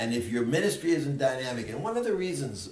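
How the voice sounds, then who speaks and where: Over audible room echo, a man talks at a moderate pace in a medium pitch. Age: 80s+. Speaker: seniors ministry pastor. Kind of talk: presentation to church leaders. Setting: meeting with church leaders.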